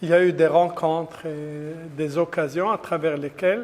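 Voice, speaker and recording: At a fairly slow pace, a man speaks at a high pitch with ordinary pitch variation. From Algeria. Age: 60s. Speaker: Islamic lecturer. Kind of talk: religious talk. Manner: hesitant with many fillers.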